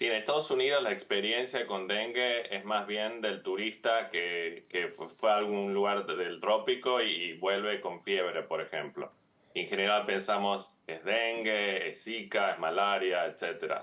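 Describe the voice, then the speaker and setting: A man in a Tucumán accent, fairly low in pitch, fairly slow in pace, with fairly even intonation. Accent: Tucumán Argentine. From Argentina, Tucumán. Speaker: infectious disease physician, professor. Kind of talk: TV interview. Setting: video call.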